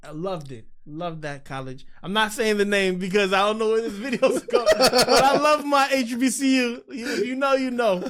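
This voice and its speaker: An animated man with an American accent, high-pitched and lively in intonation, at a moderate pace with big swings in loudness, hardly any pauses, and noticeable background noise. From Los Angeles, California. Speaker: filmmaker. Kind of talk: podcast conversation.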